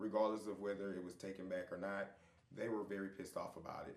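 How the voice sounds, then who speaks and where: Very fast speech comes from a man. Room echo can be heard around him. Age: 30s. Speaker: reality TV cast member. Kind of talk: interview.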